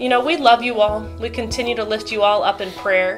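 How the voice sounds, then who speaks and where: A woman talks at a moderate speed while clear music sounds behind her. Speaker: pastor. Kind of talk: church announcements chat. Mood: warm, upbeat. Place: home room.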